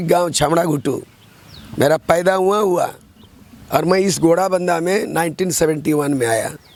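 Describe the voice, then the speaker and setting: A man's voice, high in pitch, comes through noticeable background noise. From Jharkhand, East Singhbhum near Odisha border. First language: Santali (speaking Hindi). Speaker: politician and poet. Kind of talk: interview.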